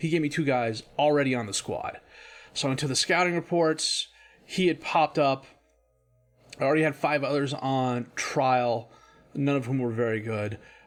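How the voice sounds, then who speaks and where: With music in the background, a man speaks at a moderate pace, taking long, frequent pauses. His voice is fairly high in pitch with ordinary pitch variation. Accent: American. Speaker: video game streamer. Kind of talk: gameplay commentary. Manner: casual, thinking aloud.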